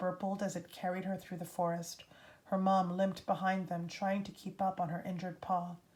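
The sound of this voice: Someone reads in an unforced voice.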